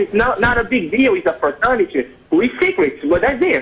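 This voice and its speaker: A man's voice with very wide pitch swings amid noticeable background noise. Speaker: call-in show caller. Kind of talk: phone call to live show. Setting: phone line. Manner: hesitant, halting.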